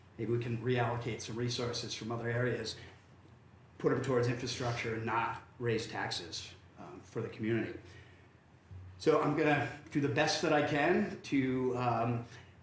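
Pausing long and often, a man speaks at a moderate pace in a medium pitch with ordinary pitch variation, amid noticeable background noise and audible room echo. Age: 50s. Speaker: city council candidate. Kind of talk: candidate forum statement. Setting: public forum with audience. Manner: halting, many fillers and repeats.

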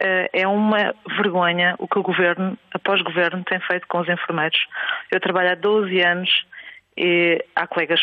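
Her intonation stays monotone and flat. This woman's pitch is fairly low. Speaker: nurse caller. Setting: phone call.

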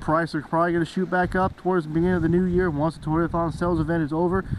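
A man with a high voice sounds upbeat over noticeable background noise, and the sound is dry with no echo. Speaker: car salesman. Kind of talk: dealership pitchman radio-style ad, urging listeners to come on down for year-end deals. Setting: dealership promo video. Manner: upbeat, pushy, repetitive sales patter; fast, emphatic, salesman enthusiasm. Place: street. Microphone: phone near.

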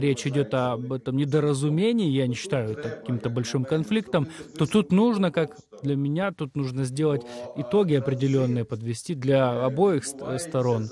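A man speaks at a moderate pace in a fairly high voice, with noticeable background noise. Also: dry sound with no echo. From Ukraine. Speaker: Ukrainian member of parliament; politician guest. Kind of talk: live TV interview. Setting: remote video link. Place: home room.

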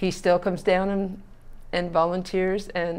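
The delivery is fairly slow, with monotone, flat intonation. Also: woman. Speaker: local youth bowling coach. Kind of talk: interview answer. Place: studio. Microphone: lapel.

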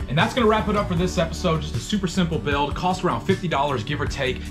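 A man speaks very fast while clear music sounds behind him. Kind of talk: casual vlog chat. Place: bus. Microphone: phone near.

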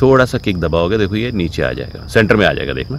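A man with a very deep, low pitch talks at a moderate pace, his pitch swinging very widely. The sound is dry with no echo, over light background noise. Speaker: vlogger. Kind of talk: casual vlog chat and tutorial. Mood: cheerful, joking. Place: open country. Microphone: phone near.

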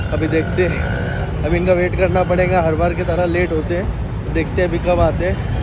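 A man talks at a moderate pace, and the recording carries audible room echo plus noticeable background noise. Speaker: food and travel vlogger. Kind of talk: casual vlog chat.

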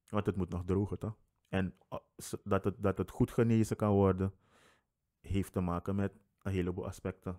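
Over a quiet background, a man talks with a very deep, low pitch and a dark, mellow tone. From Suriname. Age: 20s. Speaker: podcast guest. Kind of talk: casual chat. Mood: relaxed, humorous. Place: home room. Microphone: studio mic.

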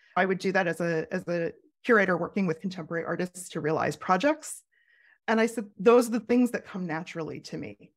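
At a very fast pace, with big swings in loudness and long, frequent pauses, the voice comes through on a very clean recording with a silent background. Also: woman, medium pitch for a woman, ordinary pitch variation. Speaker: curator and creative coach. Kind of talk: interview conversation. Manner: talkative, thinks out loud.

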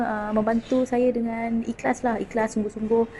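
A woman's fairly high voice with fairly even intonation, over noticeable background noise. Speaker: client giving testimonial. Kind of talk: testimonial.

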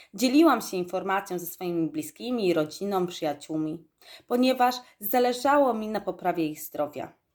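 An unremarkable speaking voice with lively intonation moves at a moderate pace on a very clean recording with a silent background. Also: woman, medium pitch for a woman. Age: 20s. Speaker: network marketing distributor. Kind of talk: testimony. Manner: formal.

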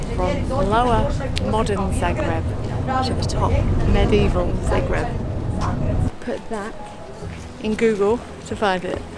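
Music plays in the background as a woman speaks fairly slowly. The sound is dry, with no echo. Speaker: travel vlogger. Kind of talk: casual vlog chat.

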